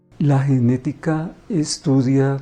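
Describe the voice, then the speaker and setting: A dark, mellow tone colors the voice. There is a somewhat breathy quality to it. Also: man. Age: 60s. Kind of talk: interview.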